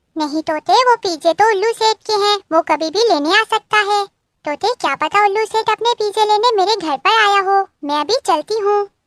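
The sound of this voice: This is a squeaky, cartoonish character voice from a woman, pitched extremely high with ordinary pitch variation and very even loudness. She goes at a moderate pace, and the sound is dry and close with no echo.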